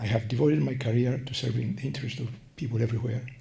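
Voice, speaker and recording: Amid noticeable background noise and audible room echo, a man of medium pitch talks at a very fast pace. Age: 80s+. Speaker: patient advocate. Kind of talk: prepared statement. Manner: slurred, less clear speech from Parkinson's; careful reading.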